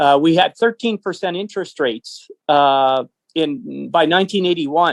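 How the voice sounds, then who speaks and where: With a Canadian prairie accent, a man talks at a moderate pace. His voice is high, with lively intonation. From Canada. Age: 60s. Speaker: business owner and political activist. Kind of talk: interview. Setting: phone call.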